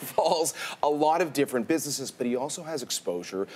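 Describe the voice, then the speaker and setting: A man speaks with very wide pitch swings. Noticeable background noise runs beneath him. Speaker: business journalist. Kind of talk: TV news interview answer.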